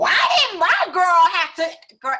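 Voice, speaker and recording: A put-on character voice pitched extremely high. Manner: livid, angry.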